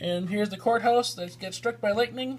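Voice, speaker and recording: Speaking with an American accent, a man's voice carries audible room echo. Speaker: model train hobbyist and video guide. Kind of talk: walkthrough tour narration. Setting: indoors at a church train show.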